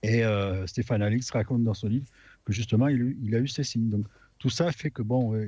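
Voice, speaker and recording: Dark and mellow in tone, a man speaks at a medium pitch. The background is quiet. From France, Aveyron. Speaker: radio panelist. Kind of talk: casual chat.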